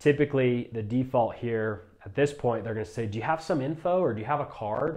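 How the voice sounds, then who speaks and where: At a very fast pace, a man speaks in a medium pitch. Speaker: solar sales trainer. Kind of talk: tutorial.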